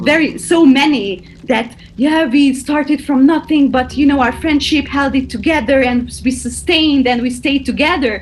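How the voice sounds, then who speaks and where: With a Hungarian accent, a woman talks at a moderate pace and high pitch, with hardly any pauses. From Hungary, Budapest. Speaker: choreographer. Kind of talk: interview answer. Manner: casual, animated.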